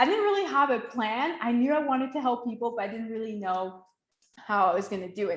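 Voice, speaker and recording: With a Quebec accent, a woman talks at a fairly quick pace in a high pitch, her tone animated. Her pitch swings very widely, and audible room echo surrounds her voice. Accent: Quebecois French-accented English. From Quebec, Montreal. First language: French. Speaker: life coach. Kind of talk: webinar masterclass.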